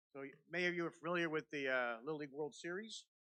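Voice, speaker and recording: Speaking at a very fast pace, a man has a bright, sharp tone. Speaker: youth baseball league official. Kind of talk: public meeting presentation. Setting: county board meeting. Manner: halting.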